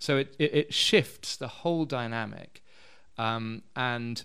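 In a southern English accent, a man talks at a very slow pace with ordinary pitch variation. The recording is very clean with a silent background. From London, England. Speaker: missionary and community worker. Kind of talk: interview.

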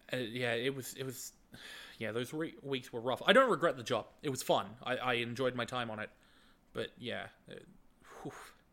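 A man with an Australian accent speaks at a moderate pace, his medium-pitched voice bright and sharp. His intonation stays fairly even, broken by long, frequent pauses. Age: 20s. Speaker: YouTube video editor. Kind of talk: casual chat.

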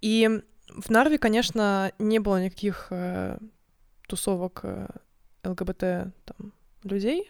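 Speaking at a very slow pace, a woman leaves long, frequent pauses, her medium pitch showing ordinary variation. The recording is very clean, with a silent background. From Estonia, Narva (Russian-speaking). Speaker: podcast co-host. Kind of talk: casual chat. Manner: hesitant, with filler sounds.

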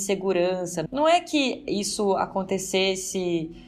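A woman with a medium-pitched voice is heard over noticeable background noise. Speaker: political scientist and professor. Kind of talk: interview.

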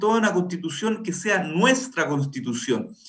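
With lively intonation and a high pitch for a man, this male speaker talks at a moderate pace in a room with audible echo. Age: 30s. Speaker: political candidate. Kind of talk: radio interview.

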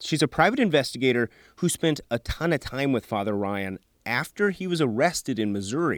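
A man with an American accent, a plain, everyday voice at medium pitch, dry and close with no echo. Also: very clean recording, silent background. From US Midwest. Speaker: news reporter and podcast host. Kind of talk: scripted narration.

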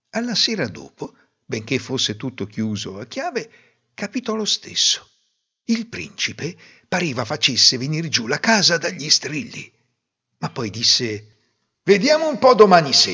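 A man's fairly high voice with very wide pitch swings, an animated tone and vocal fry, at a fairly slow pace with long, frequent pauses. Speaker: fairy tale narrator. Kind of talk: fairy tale storytelling, scripted narration. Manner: animated, expressive, voicing characters in dialogue.

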